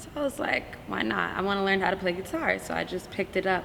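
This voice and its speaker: A woman with an American accent speaks at medium pitch and a fairly quick pace. Noticeable background noise is present. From New Jersey (Montclair). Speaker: musician and artist. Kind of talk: interview. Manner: casual, hesitant with fillers.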